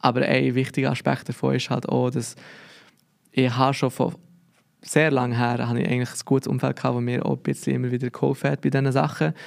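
A man talks at a very fast pace, his medium-pitched voice keeping fairly even intonation. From Switzerland, Biel (Bernese region). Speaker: lettering artist. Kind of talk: casual interview.

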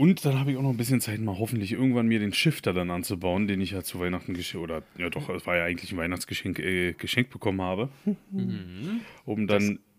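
Ordinary pitch variation runs through speech delivered very fast. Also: man, fairly low pitch for a man. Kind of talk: casual chat. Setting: studio, sitting on couch.

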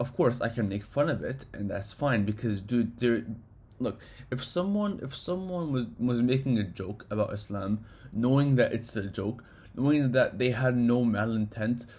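Somewhat breathy, a man speaks at a moderate pace in a medium pitch with ordinary pitch variation. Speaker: solo podcast host. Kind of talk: casual monologue. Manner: halting, many fillers.

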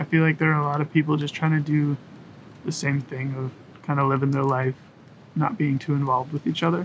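In a Canadian accent, a man with a fairly high pitch talks at a very fast pace. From Kingston, Ontario, Canada. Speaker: teacher and musician. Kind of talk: interview. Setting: outdoors on a covered deck.

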